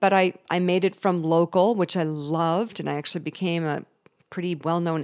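An unremarkable speaking voice, a woman at a fairly low pitch and a moderate pace. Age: 50s. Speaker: podcast host and TV journalist. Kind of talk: personal monologue.

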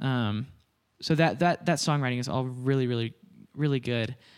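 A man speaks at a moderate pace with an American accent, his pitch sitting in the middle range. The recording is very clean, with a silent background. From Nebraska. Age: 20s. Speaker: singer-songwriter. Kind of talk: casual chat. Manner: halting.

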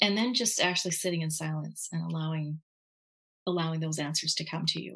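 A woman talks at a fairly quick pace. Her pitch is fairly low. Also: ordinary pitch variation. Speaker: Reiki master and energy healer. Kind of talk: casual interview.

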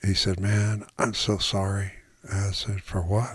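A man's somewhat breathy, fairly low voice at a fairly slow pace. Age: 70s. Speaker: retired English instructor and writer, blind since childhood. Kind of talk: personal testimony.

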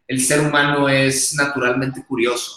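A man talks with a strong Sonoran accent. His pace is fairly slow. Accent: strong northern Mexican (Sonoran). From northern Mexico, Hermosillo, Sonora. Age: 30s. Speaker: tech school founder. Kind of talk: interview.

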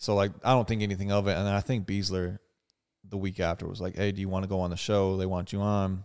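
A man talks very fast at a fairly low pitch in a flat monotone. The recording is very clean, with a silent background. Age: 20s. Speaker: podcast co-host, former NFL player. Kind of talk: casual chat. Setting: studio.

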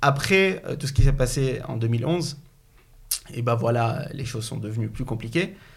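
Heard with audible room echo, a man of medium pitch speaks at a fairly slow pace with vocal fry and ordinary pitch variation. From Syria. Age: 20s. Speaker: business school student. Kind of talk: interview. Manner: halting.

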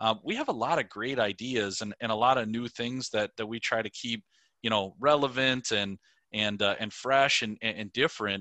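A man speaks in a Minnesotan accent. His intonation stays fairly even. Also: medium pitch for a man, moderate pace. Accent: Minnesotan, rounded O's. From Minnesota, Twin Cities suburb. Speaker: safety products sales director. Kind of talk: interview. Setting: video call.

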